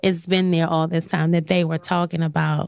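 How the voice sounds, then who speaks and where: The recording is very clean, with a silent background. A woman with a fairly low voice speaks at a moderate pace in an unremarkable speaking voice. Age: 40s. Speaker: dentist. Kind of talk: casual podcast discussion.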